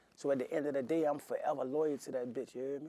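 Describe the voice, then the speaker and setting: Monotone, flat intonation rides a very fast pace in a New Orleans accent. The tone is dark and mellow. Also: man. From Washington, D.C. (Southeast). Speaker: rapper. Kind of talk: interview. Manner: casual, slangy.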